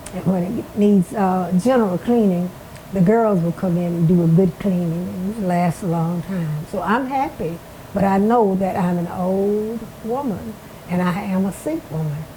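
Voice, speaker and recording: With an Alabama accent, a woman speaks at a medium pitch and a moderate pace. Her pitch varies in an ordinary way over noticeable background noise. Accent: US Southern, Alabama. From Alabama, Marengo County. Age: 90s. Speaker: retired schoolteacher. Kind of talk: oral history interview. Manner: halting, repeats words.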